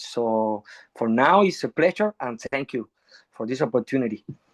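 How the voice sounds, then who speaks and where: A man speaks at a moderate pace in a Spanish accent. The sound is dry and close, with no echo. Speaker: musician. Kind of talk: panel discussion. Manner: halting.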